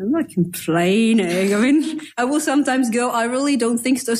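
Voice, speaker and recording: Noticeable background noise accompanies a woman with a French accent whose fairly high voice has lively intonation. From France. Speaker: novelist. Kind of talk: casual chat.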